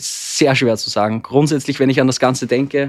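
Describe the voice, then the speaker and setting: A man at medium pitch in an Austrian accent, monotone and flat, at a moderate pace. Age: 20s. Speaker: therapy podcast guest. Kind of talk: personal conversation about relationship. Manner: halting.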